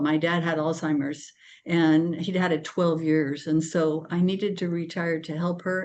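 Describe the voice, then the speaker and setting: Against a quiet background, a woman speaks at a fairly slow pace with a fairly low pitch and monotone, flat intonation. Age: 70s. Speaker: artist and retired art teacher. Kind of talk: interview. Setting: video call. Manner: halting.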